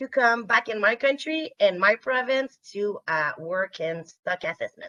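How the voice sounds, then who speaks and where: A woman with a French Canadian accent speaks in a bright, sharp tone at a fairly high pitch with very wide pitch swings, the sound dry and close with no echo. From Quebec, Canada. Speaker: fisheries scientist. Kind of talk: webinar presentation. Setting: remote video webinar. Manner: hesitant, many fillers.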